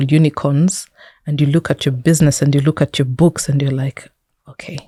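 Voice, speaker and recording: A woman with a Kenyan accent speaks at a very deep, low pitch and a fairly quick pace. Her tone is dark and mellow, the sound dry and close with no echo. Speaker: technology entrepreneur and investor. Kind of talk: interview conversation.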